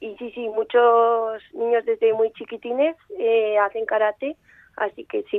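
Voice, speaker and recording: Talking at a fairly slow pace, a woman has an unremarkable speaking voice. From Aragon, Spain (Zaragoza). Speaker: karate athlete. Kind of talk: radio interview.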